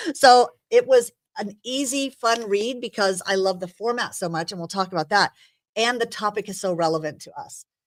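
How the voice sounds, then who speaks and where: Animated in tone and pitched in the medium range, a woman talks at a moderate pace with ordinary pitch variation and big swings in loudness. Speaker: talk show host. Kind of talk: casual chat. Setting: studio with live audience.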